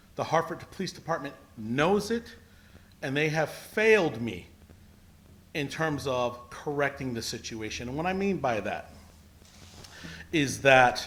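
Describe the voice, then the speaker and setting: Over noticeable background noise, a man with an American accent speaks fairly slowly at a fairly high pitch, with lively intonation and long, frequent pauses. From Connecticut, US. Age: 50s. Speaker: public testimony speaker, exoneree. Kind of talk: public testimony. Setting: public hearing with amplification, televised. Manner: formal.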